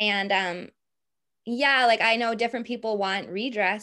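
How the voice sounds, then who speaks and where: In a Boston accent, a woman talks at a moderate pace with a bright, sharp tone and fairly even intonation, recorded very cleanly against a silent background. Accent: Boston American. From US, Boston. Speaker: history researcher. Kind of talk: interview.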